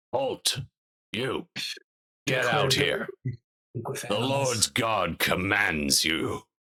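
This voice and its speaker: A man's put-on character voice, gravelly and raspy, medium in pitch, at a very slow pace with long, frequent pauses. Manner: commanding.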